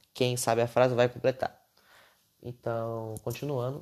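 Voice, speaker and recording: Against a quiet background, someone with a Brazilian accent speaks at a moderate pace. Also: man. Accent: regional Brazilian. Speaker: podcaster. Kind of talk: casual monologue. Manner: unscripted, hesitant.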